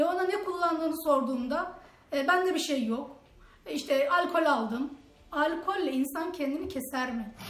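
A woman's high-pitched voice at a moderate pace. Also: ordinary pitch variation. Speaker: aunt of a family member. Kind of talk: testimony. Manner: emphatic.

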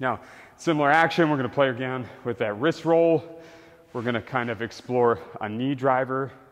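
The voice belongs to a man. He talks at a moderate pace. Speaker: fitness coach. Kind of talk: tutorial. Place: gym.

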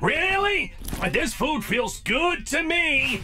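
A man speaks in a cartoonish character voice, pitched extremely high, at a very slow pace. Background noise is clearly heard. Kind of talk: cartoon comic acting. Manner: cheeky, sarcastic, playful.

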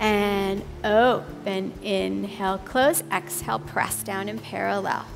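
A woman talks at a very slow pace. Music sounds in the background. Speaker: pilates instructor. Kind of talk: exercise class cueing. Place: gym. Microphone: headset.

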